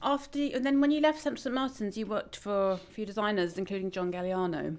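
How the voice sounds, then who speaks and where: This woman has a normal speaking voice, pitched fairly high. She talks at a fairly quick pace with lively intonation. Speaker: podcast host. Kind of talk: interview conversation. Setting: recording in a townhouse.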